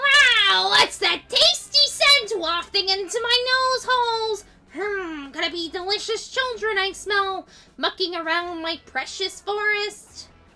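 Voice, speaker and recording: A put-on character voice, female-sounding, at an extremely high pitch. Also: fairly slow pace. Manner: mean, menacing, comically sinister.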